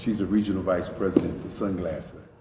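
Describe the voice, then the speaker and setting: Very deep and low, a man's voice moves with fairly even intonation. Audible room echo and noticeable background noise are present. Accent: American. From North Carolina (Durham). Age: 50s. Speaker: artist. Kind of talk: recorded interview.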